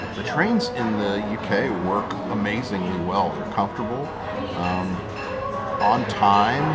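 Loud music plays in the background as a man talks at a very slow pace with ordinary pitch variation. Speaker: travel vlogger. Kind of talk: casual vlog chat. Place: bar. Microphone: phone near.

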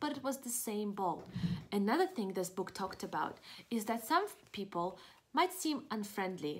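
The plain reading aloud carries lively intonation.

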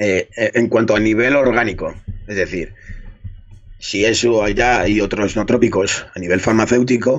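A man's fairly low voice at a moderate pace, with very even loudness and fairly even intonation, against a quiet background. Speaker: fitness coach. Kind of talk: interview answer. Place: home room. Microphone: studio mic.

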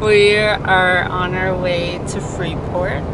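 Loud background noise sits behind a woman as she speaks. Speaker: vlogger. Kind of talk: casual vlog chat. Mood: cheerful, excited. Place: car. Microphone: phone near.

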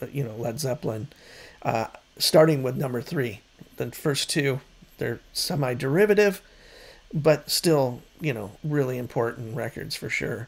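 Somewhat breathy, a man speaks at a fairly slow pace with long, frequent pauses. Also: ordinary pitch variation. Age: 50s. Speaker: music YouTuber; music vlogger. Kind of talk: casual monologue; casual vlog chat. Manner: hesitant, many fillers. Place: home room. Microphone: studio mic.

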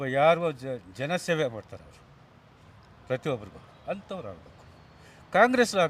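A man's fairly high voice moves in very wide pitch swings and big swings in loudness. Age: 60s. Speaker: retired government employee, street interviewee. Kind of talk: street vox pop interview. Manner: animated.

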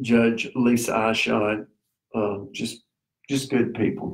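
A man with a Tennessee accent, medium pitch, monotone, flat intonation and a fairly slow pace. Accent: Southern US (Tennessee). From US South, Middle Tennessee. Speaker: local community figure. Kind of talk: casual interview. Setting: live stream.

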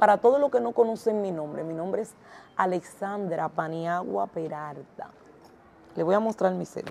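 Against light background noise, a woman speaks at a moderate pace in an animated tone, with lively intonation and big swings in loudness. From Dominican Republic, La Romana (east). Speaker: vodou priestess. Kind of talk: live stream chat. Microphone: lapel.

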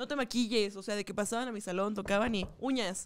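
A woman speaks in a fairly high voice with an animated tone. Her pace is fairly quick, her pitch variation is ordinary, and the recording is very clean with a silent background. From northern Mexico. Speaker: comedian and podcast co-host. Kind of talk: casual chat. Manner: animated, frequent laughter.

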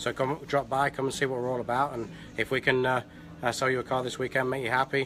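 A man's very fast, monotone delivery with flat intonation and a bright, sharp tone, over light background noise. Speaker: car salesman. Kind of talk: short promo spiel on camera. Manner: hesitant, filler-heavy, halting. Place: shop. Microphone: phone near.

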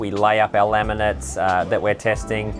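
With clear music in the background, a man with a fairly low pitch speaks at a moderate pace. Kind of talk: interview answer. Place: boat.

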